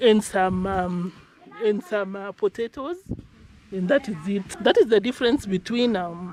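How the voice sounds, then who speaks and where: A woman speaks fairly slowly with ordinary pitch variation, her voice dry and close with no echo, over noticeable background noise. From Kenya. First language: Kenyan ethnic language. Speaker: village vlogger. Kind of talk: casual vlog narration. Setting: outdoors on a farm. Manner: casual, conversational.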